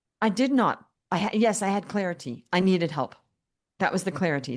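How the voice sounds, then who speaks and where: A woman's medium-pitched, plain, everyday voice at a fairly quick pace, with lively intonation. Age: 60s. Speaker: business coach. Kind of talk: podcast interview. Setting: podcast.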